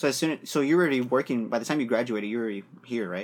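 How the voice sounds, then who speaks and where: A man with an American accent, very fast pace, medium pitch and ordinary pitch variation. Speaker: podcast host. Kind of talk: casual interview.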